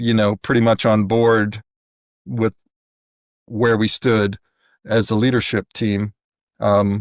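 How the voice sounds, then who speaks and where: On a very clean recording with a silent background and a dry, close sound with no echo, a man with an American accent speaks very slowly at a fairly low pitch, in a monotone, flat intonation with very even loudness. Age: 60s. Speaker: church lay leader. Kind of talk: testimony. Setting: podcast interview. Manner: halting.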